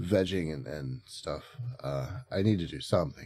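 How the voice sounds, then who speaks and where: A man's voice carries vocal fry. His pitch moves in very wide swings. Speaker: video game streamer. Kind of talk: casual live stream chat. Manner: halting, many fillers.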